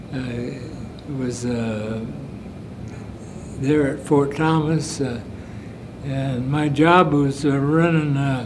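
Over noticeable background noise, a man with a fairly high voice speaks very slowly in an American accent. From United States. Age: 80s+. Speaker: war veteran. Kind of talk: interview answer. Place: meeting room.

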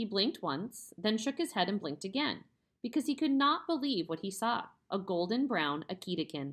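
With little sound around it, the clip carries an unforced reading voice.

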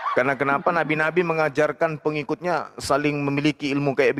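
Recorded dry and close with no echo amid noticeable background noise, a man talks at a fairly quick pace and fairly high pitch. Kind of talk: religious debate. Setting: livestream video call. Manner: animated.

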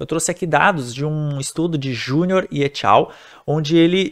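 A man has an ordinary speaking voice, pitched fairly high, with ordinary pitch variation. He speaks at a moderate pace against a quiet background. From Brazil. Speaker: nurse and nursing teacher; nursing teacher. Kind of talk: lecture. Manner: casual, conversational. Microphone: webcam.

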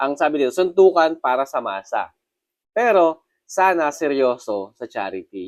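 A man's fairly high voice with very wide pitch swings, at a moderate pace, in a dry, close sound with no echo. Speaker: news commentary vlogger. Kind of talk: casual news commentary vlog. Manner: hesitant, many fillers.

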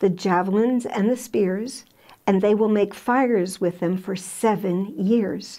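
Against a quiet background, a woman talks at a fairly slow pace in a dark, mellow tone. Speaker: Bible teacher. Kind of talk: Bible teaching talk. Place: studio. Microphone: lapel.

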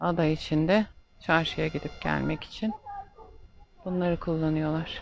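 A woman at a very slow pace with fairly low pitch and fairly even intonation, in a dry sound with no echo and light background noise. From Turkey, Istanbul. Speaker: travel vlogger. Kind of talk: casual travel vlog narration. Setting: outdoors, windy island streets and horse-free taxi. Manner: chatty, laughs often. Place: street. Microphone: phone near.

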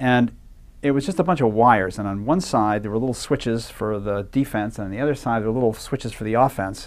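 Talking at a very fast pace, a man with an American accent uses ordinary pitch variation. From New Hampshire, US. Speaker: game designer and screenwriter; guest. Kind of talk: lecture-style interview. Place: hall. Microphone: lapel.

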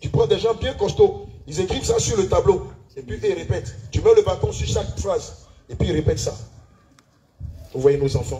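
A man talks in an animated tone, leaving long, frequent pauses. Noticeable background noise runs underneath. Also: moderate pace. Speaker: pastor leading church service. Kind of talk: sermon. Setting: church.

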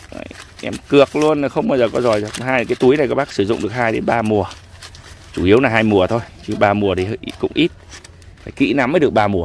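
There is light background noise as a man speaks at a very fast pace yet with long, frequent pauses, using ordinary pitch variation in a dry sound with no echo. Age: 40s. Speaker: custard apple farmer. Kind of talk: casual orchard tutorial. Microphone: phone near.

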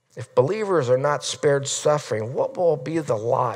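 Nothing stirs in the background. The talking goes along at a medium speed. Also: man. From Nebraska, US Midwest. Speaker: pastor. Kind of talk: sermon. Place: church.

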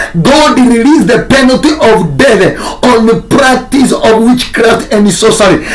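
Light background noise sits behind a man who speaks at a fairly slow pace and an extremely high pitch. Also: ordinary pitch variation. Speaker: pastor. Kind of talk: sermon. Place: home room. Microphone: phone near.

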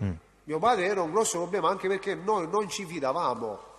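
A man speaks with lively intonation in a room with audible echo. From Reggio Calabria, southern Italy. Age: 40s. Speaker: witness, state informant. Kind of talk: court testimony. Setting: courtroom. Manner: halting.

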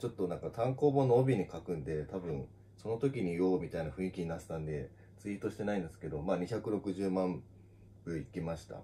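Very deep, low male voice, dark and mellow, at a fairly quick pace with big swings in loudness. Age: 30s. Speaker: manga artist. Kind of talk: casual solo talk on social audio. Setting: live audio stream on social media. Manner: casual, with many fillers. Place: office.

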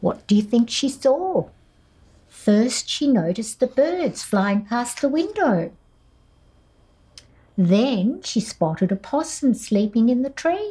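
A woman's high, dark and mellow voice with an Australian accent, very slow, with long, frequent pauses, very wide pitch swings and very even loudness. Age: old. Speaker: children's author and former teacher; former teacher. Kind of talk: children's picture book read-aloud. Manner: warm, playful. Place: studio.

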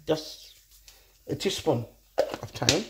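A woman speaks slowly with a low pitch and lively intonation. Room echo is audible.

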